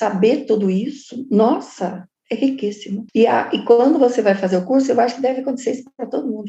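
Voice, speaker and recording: A woman with a fairly high pitch talks in a dark, mellow tone that is somewhat breathy. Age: 70s. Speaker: course student. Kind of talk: testimony.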